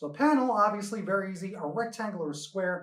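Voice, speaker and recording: A man at a fairly quick pace. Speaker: comics teacher. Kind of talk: lecture. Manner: fast.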